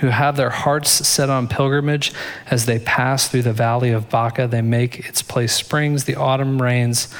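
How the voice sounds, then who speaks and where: A man speaks at a fairly slow pace and medium pitch in a flat monotone, with noticeable background noise. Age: 40s. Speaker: pastor. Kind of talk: sermon.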